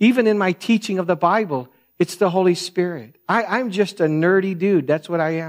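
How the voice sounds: A soft-spoken man talks at a moderate pace in a high voice.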